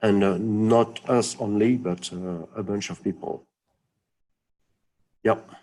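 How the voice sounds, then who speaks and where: A man with a non-native accent speaks at a very slow pace, pausing long and often. His fairly low voice is dark and mellow, with fairly even intonation. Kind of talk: webinar Q&A. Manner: halting, many fillers.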